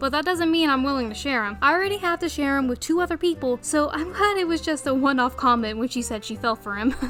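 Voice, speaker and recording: Over noticeable background noise, a high-pitched woman with a Southern US accent speaks at a very fast pace with lively intonation. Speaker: anime reviewer. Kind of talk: scripted review narration. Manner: animated.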